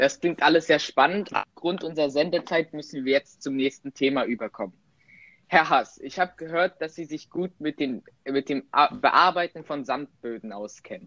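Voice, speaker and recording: A man speaks at a fairly high pitch with a bright, sharp tone and ordinary pitch variation. The sound is dry and close, with no echo. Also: moderate pace. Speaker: podcast host. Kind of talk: interview moderation. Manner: loud.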